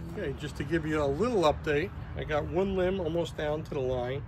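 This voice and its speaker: A man's fairly high, somewhat breathy voice moves at a moderate pace with ordinary pitch variation, and the room echo is audible. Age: 60s. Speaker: bowyer, woodworking video maker. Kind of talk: tutorial. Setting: outdoors workshop. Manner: casual, conversational.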